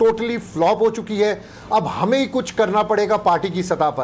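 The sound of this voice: Ordinary pitch variation marks this man's high voice as he speaks at a moderate pace.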